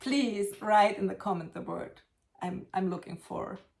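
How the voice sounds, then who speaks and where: A woman with a German accent speaks at a medium pitch with fairly even intonation. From Germany. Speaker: potter. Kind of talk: casual vlog show-and-tell. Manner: halting.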